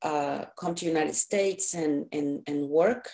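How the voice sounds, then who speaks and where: Speaking with a non-native accent at a fairly slow pace, a woman has a very deep, low pitch. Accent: foreign. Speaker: anti-trafficking advocate and trainer. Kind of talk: presentation with slides. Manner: halting, many fillers.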